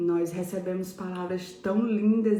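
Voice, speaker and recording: A woman speaks at a fairly slow pace in a medium pitch, with monotone, flat intonation. Room echo is audible and background noise is noticeable. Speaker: pastor. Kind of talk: devotional sermon. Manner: soft-spoken.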